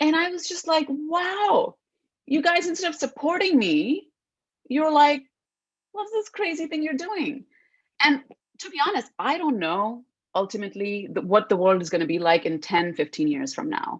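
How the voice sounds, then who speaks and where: Speaking with an Indian accent, a woman uses a high pitch with very wide pitch swings and long, frequent pauses. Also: moderate pace. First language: Hindi. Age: 30s. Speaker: actress. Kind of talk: interview.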